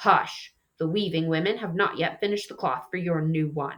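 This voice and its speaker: A put-on character voice carries this clip. Its pitch is middle and its pace is moderate. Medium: read story. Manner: firm, commanding.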